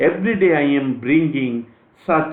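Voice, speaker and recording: Speaking very slowly with an Indian accent, a man uses a fairly high pitch and ordinary pitch variation, with audible room echo. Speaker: astrologer. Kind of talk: lecture. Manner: formal.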